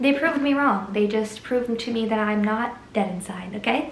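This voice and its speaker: Noticeable background noise surrounds a woman's voice. She talks at a moderate pace, with audible room echo. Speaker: book reviewer. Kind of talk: casual vlog book recommendations.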